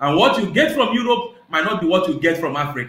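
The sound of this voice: A man at a fast pace, fairly high in pitch with big pitch swings, in audible room echo. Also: fairly bright tone.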